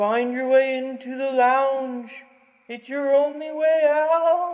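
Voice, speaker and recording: Speaking very slowly, a man is heard. His put-on character voice sits at an extremely high pitch. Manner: eerie, drawn-out.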